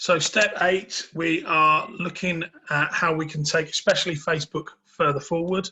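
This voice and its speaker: Flat and monotone, a man talks at a high pitch. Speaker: business coach. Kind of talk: webinar presentation. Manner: fast.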